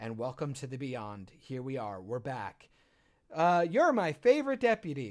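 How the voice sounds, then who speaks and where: The speech has lively intonation and big swings in loudness at a moderate pace. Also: man, medium pitch for a man. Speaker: podcast co-host, filmmaker. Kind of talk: casual chat. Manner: trying not to yell as much; animated.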